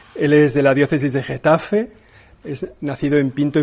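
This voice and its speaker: This man's voice sits at a fairly high pitch. He talks at a moderate pace. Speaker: church press spokesman. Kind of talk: press conference moderation. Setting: press conference room.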